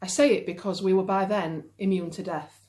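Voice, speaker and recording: A woman with a Yorkshire accent, medium pitch, moderate pace and fairly even intonation. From Yorkshire, northern England. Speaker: novelist. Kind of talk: reading aloud. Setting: at home.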